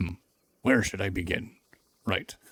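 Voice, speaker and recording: A man's gruff, put-on character voice. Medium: game stream. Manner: gruff, irritable.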